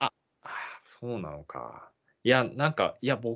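A very fast pace from a man at medium pitch, with very wide pitch swings, over a quiet background. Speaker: podcast host learning English. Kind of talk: casual chat. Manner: halting, many fillers.

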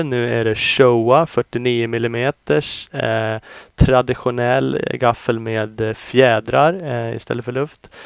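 A man speaks at a medium pitch. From Sweden. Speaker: motocross test rider and podcast host. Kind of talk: scripted review narration.

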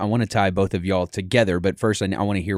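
Recorded very cleanly against a silent background, a man has an unremarkable speaking voice, a fairly low pitch and fairly even intonation. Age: 30s. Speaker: podcast interviewer, athletics administrator. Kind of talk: interview.

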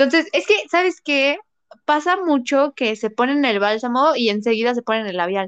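A moderate pace paired with very wide pitch swings. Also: woman, high pitch for a woman. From Mexico, Puebla. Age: 20s. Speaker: makeup artist. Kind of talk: casual interview.

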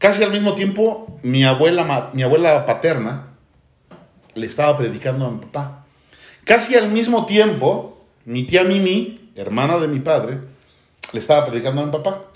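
In a room with audible echo, a man with a fairly high voice makes very wide pitch swings. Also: moderate pace. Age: 40s. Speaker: church teacher. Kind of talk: church livestream testimony panel.

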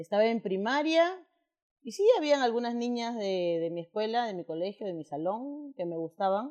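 The speaker is a woman. She talks at a fairly slow pace. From Peru. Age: 40s. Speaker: interviewee sharing coming-out story. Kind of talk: personal testimony interview. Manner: halting, repetitive fillers.

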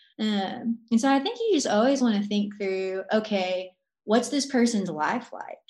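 A woman's somewhat breathy, fairly high voice at a fairly slow pace, with ordinary pitch variation. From Arkansas. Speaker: college ministry worker. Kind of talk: casual interview.

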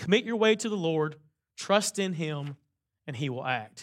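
In a very clean recording with a silent background, a man talks in a high pitch. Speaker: pastor. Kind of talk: sermon. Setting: church. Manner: loud.

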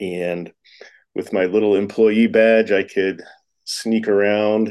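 A man with an American accent speaks very slowly in a monotone, flat intonation against a quiet background. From Florida, Tampa. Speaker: writer and English professor. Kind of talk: casual interview.

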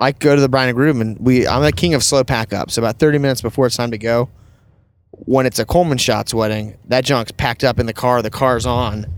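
Speaking fairly quickly with an American accent, a man uses an ordinary speaking voice and fairly even intonation. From US South. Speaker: podcast host, wedding photographer. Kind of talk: casual chat. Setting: in a car.

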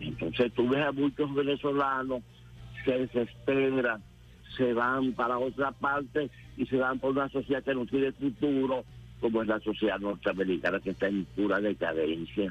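A man's medium-pitched voice at a moderate pace, very even in loudness with ordinary pitch variation, music in the background. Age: 80s+. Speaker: politician and former guerrilla commander. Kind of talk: radio interview. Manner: halting.

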